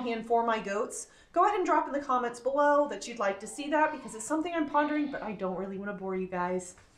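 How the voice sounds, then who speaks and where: In a room with audible echo, a woman speaks at a very fast pace with very wide pitch swings. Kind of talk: casual vlog chat. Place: farm machine. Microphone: phone near.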